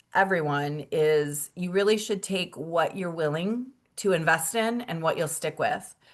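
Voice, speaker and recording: In a quiet background, a woman talks at a fairly slow pace with ordinary pitch variation. Hers is a plain, everyday voice. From Michigan. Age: 50s. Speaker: wellness product distributor. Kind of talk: webinar presentation.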